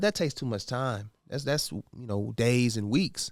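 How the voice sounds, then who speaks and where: A man with an American accent, medium pitch, an unremarkable speaking voice and a fairly quick pace, on a very clean recording with a silent background. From Indianapolis, US Midwest. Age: 30s. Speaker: real estate broker, podcast guest. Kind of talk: casual interview.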